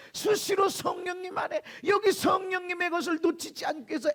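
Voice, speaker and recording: At a moderate pace, a man speaks in an animated tone, the sound dry and close with no echo. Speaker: pastor. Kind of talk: sermon.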